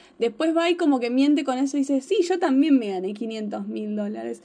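A woman's high-pitched voice at a moderate pace. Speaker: podcast co-host. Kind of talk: casual chat.

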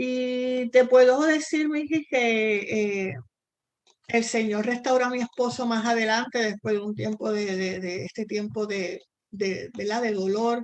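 Here a woman talks at a very slow pace. Her pitch variation is ordinary. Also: fairly high pitch for a woman. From Puerto Rico. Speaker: missionary. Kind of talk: interview testimony.

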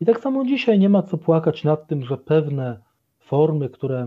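A man's fairly high voice with very wide pitch swings, at a fairly slow pace. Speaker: Capuchin friar and doctoral student. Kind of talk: radio interview. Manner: formal.

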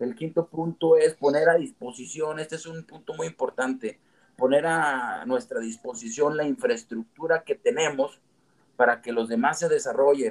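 A man's unremarkable speaking voice, fairly high in pitch, with lively intonation, a moderate pace, big swings in loudness and a dry, close sound with no echo. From Mexico, Comarca Lagunera (Gómez Palacio/Torreón/Lerdo). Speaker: entrepreneur and civic movement founder. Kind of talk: interview conversation.

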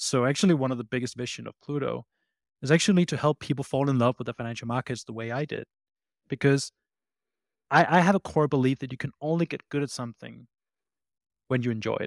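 On a very clean recording with a silent background and a dry, close sound with no echo, a man with a Danish accent talks at a very fast pace broken by long, frequent pauses. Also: medium pitch for a man, ordinary pitch variation. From Denmark. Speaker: startup CEO and founder. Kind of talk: casual interview chat.

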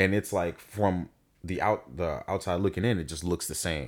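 This man talks at neither a fast nor slow clip, a moderate pace. The audio is very clean and the background silent. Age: 20s. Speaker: podcast co-host. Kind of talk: casual chat. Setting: home studio room. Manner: animated.

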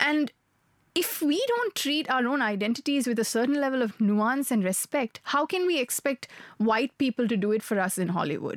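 In a dry, close recording with no echo, a woman with a high pitch talks at a moderate pace, keeping very even loudness and lively intonation. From Sri Lanka. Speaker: podcast co-host. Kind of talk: casual chat. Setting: studio.

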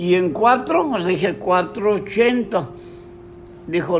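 Noticeable background noise and audible room echo fill the recording. Over it, a man talks in a high pitch. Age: 80s+. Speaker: grandfather interviewed about his life. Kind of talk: family oral history interview.

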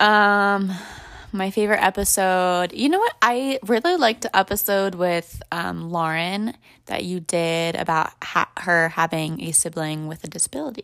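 A woman speaks in a normal speaking voice at a moderate pace, medium in pitch with ordinary pitch variation. The recording is very clean, with a silent background. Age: 20s. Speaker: podcast guest. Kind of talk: casual chat.

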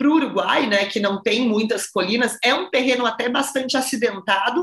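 Animated female speech, high in pitch, with ordinary pitch variation at a moderate pace. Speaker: wine podcast host. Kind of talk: interview.

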